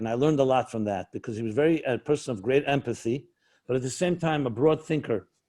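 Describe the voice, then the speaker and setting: A plain, everyday voice with an American accent, speaking at a fairly quick pace with ordinary pitch variation. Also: man. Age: 60s. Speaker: rabbi and author. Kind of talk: interview conversation.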